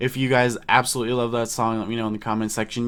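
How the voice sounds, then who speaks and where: The voice has a bright, sharp tone in a very clean recording with a silent background. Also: man. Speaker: music YouTuber. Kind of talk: casual album review vlog. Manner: stutters, many ums; hesitant, filler words.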